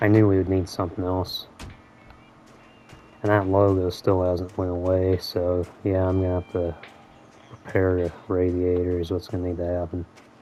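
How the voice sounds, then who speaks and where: Over music in the background, a man with a very deep, low pitch speaks quietly in a monotone, flat intonation at a moderate pace, with long, frequent pauses. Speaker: gaming YouTuber. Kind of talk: gameplay commentary. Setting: at home.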